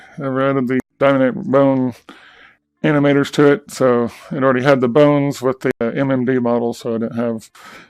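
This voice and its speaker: A man talks at a fairly quick pace in a plain, everyday voice, medium in pitch, with fairly even intonation. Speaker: VR content creator. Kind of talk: casual talk to camera.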